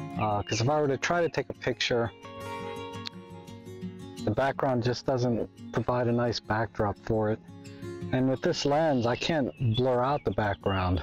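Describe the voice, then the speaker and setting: A man's voice at a moderate pace with ordinary pitch variation, very even loudness and long, frequent pauses, dry with no echo and faint music in the background. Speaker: photography vlogger. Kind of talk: casual vlog chat. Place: garden. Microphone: phone near.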